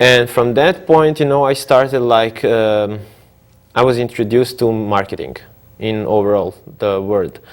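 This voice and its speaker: A man with a Croatian accent talks at a moderate pace with ordinary pitch variation. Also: medium pitch for a man. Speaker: entrepreneur. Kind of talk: TV interview. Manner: halting, many fillers.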